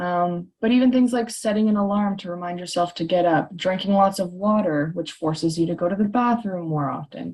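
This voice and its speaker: Somewhat breathy, a woman talks at a fairly quick pace with ordinary pitch variation. The background is quiet. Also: medium pitch for a woman. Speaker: chiropractor. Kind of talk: webinar presentation. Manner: frequent filler ums.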